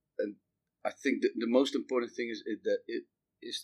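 This man speaks at a fairly quick pace, the sound dry and close with no echo. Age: 40s. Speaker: company managing director. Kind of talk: interview. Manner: halting.

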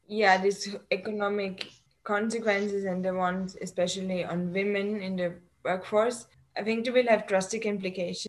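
With a German accent, a woman speaks in a monotone, flat intonation. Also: medium pitch for a woman, moderate pace. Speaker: postdoc researcher physicist. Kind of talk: interview conversation. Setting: video call. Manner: hesitant, disfluent.

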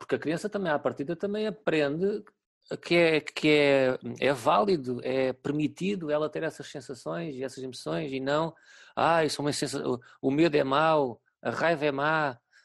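Speaking with a European Portuguese accent, a man uses a fairly high pitch and ordinary pitch variation. His pace is moderate and the background is quiet. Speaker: teacher. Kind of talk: casual interview. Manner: halting.

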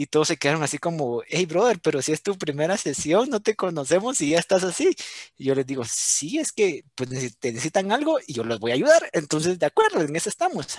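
Speaking at a fairly quick pace with hardly any pauses, a man with a high pitch uses lively intonation in dry, close sound with no echo. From Guatemala. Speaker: youth service club district representative. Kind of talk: interview.

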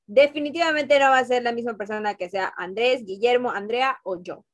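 A high-pitched woman's voice at a moderate pace. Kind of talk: casual chat.

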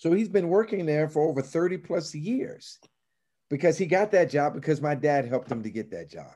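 With an American accent, a man speaks at a moderate pace, his fairly high voice carrying a dark, mellow tone. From Chicago. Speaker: ministry nonprofit leader. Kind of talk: casual interview.

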